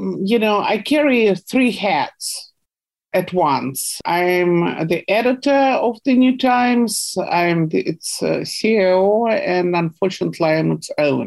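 Speaking very slowly in a Russian accent, a woman keeps a medium pitch, lively intonation and very even loudness. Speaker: investigative journalist. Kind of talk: interview.

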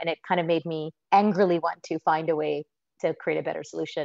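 An unremarkable speaking voice from a woman with an American accent, fairly low in pitch, fairly quick and fairly even in intonation. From United States. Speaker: social enterprise founder. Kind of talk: interview answers.

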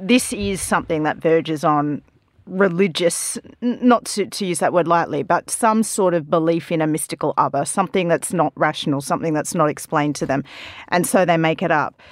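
In an Australian accent, a woman with a fairly low pitch and ordinary pitch variation talks at a fairly quick pace on a very clean recording with a silent background. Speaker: journalist panelist. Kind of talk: casual panel discussion.

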